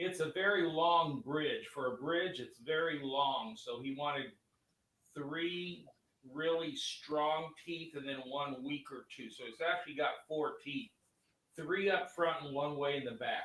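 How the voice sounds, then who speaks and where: An ordinary speaking voice from a man, fairly high in pitch, with ordinary pitch variation. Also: fairly slow pace. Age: 60s. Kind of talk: casual chat.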